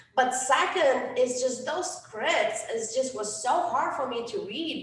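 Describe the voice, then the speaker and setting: In a Romanian accent, a woman speaks at a fairly slow pace with a high pitch and lively intonation, amid noticeable background noise and audible room echo. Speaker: life coach. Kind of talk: workshop talk. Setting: event with audience. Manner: hesitant, many fillers.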